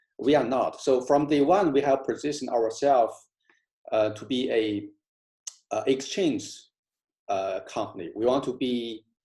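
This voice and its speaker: In a very clean recording with a silent background, a man with a non-native accent speaks at a fairly slow pace in a medium pitch, his tone dark and mellow and his pitch variation ordinary. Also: long, frequent pauses. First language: not English. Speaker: crypto project founder. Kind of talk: community call talk. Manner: halting, many fillers.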